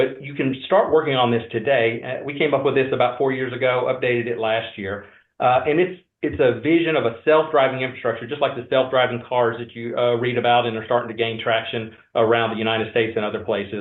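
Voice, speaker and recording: A man speaks at a very fast pace in a Georgia accent. His pitch sits in the medium range, and his intonation stays fairly even. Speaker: industry research analyst. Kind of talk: webinar presentation.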